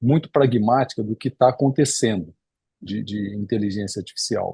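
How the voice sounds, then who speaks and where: A dark, mellow, somewhat breathy tone with ordinary pitch variation, a moderate pace, and a dry, close sound with no echo. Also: man, medium pitch for a man. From Espírito Santo, Brazil. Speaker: cardiologist and lecturer. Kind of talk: lecture. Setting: video call. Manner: halting with repetitions.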